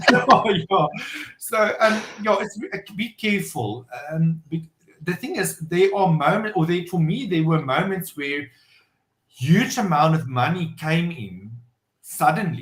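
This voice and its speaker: A man speaks loudly at a high pitch with lively intonation. His pace is fairly slow. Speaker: entrepreneur and business owner. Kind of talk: podcast interview. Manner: halting, many fillers.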